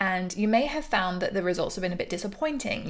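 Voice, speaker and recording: A woman speaks with an English accent. Her pitch is medium, with ordinary variation. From England. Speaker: business coach. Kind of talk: tutorial. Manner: casual, conversational.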